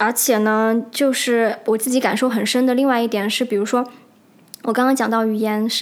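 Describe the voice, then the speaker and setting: A woman with a fairly high pitch speaks at a moderate pace in a monotone, flat intonation, her loudness very even. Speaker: solo podcast host. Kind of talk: casual monologue. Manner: many filler hesitations.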